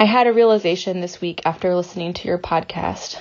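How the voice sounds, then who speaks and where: With an American accent, a woman in an unremarkable speaking voice talks at a fairly quick pace with a fairly low pitch and fairly even intonation. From US South. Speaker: listener voicemail caller. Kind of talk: voicemail message. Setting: phone voicemail.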